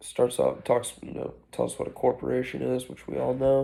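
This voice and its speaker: A man speaks in a soft-spoken way. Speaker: student. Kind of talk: chapter summary. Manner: halting.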